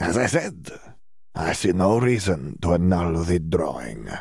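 Putting on a character voice, a man speaks with very deep, low pitch and lively intonation. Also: moderate pace. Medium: read story. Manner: smug, slippery.

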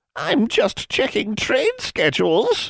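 A man puts on a croaky character voice pitched extremely high. He speaks at a fairly slow pace. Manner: defensive.

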